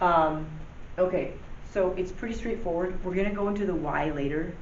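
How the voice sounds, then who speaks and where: A woman's medium-pitched voice with ordinary pitch variation and a moderate pace, noticeable background noise and audible room echo. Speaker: math teacher. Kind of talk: tutorial. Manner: casual, many fillers.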